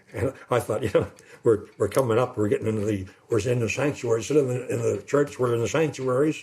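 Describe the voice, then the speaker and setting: A man's somewhat breathy voice, very fast in pace, with fairly even intonation. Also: medium pitch for a man. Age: old. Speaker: retired pastor. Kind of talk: interview. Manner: rambling, hesitant.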